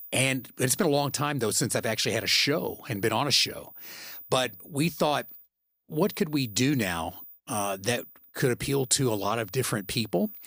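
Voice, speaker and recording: A man with a plain, everyday voice, medium pitch, lively intonation and an American accent at a moderate pace, in a very clean recording with a silent background. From Texas. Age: 60s. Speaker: podcast co-host, radio veteran and voice actor. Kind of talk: casual chat.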